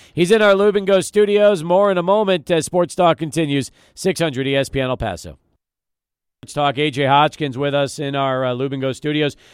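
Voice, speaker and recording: Here is a man with an ordinary speaking voice and a fairly high pitch. He talks at a fairly quick pace with lively intonation. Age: 40s. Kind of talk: casual chat. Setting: studio.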